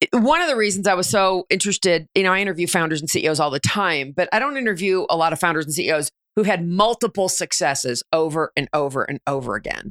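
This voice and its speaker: With an American accent, a woman races along at a very fast pace with hardly any pauses, her fairly low voice carrying lively intonation. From New Jersey. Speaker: podcast host and leadership coach. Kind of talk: interview.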